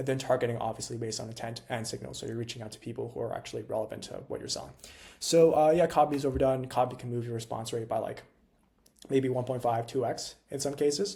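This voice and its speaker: Very fast, somewhat breathy male speech in a dark, mellow tone with ordinary pitch variation. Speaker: cold email agency founder, tech entrepreneur. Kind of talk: freestyle tutorial to camera. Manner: high energy, animated.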